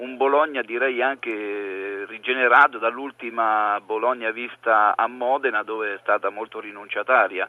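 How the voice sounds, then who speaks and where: A man speaks in a plain, everyday voice at medium pitch and a moderate pace. His intonation is fairly even, with hardly any pauses. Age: 50s. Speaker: former footballer and football pundit. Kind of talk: phone-in football commentary chat.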